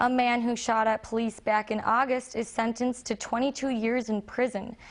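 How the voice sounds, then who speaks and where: A woman speaks in a fairly high, monotone, flat voice with very even loudness against a quiet background. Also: moderate pace. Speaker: news anchor, recent journalism graduate. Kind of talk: television news anchor delivery. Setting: television studio news set.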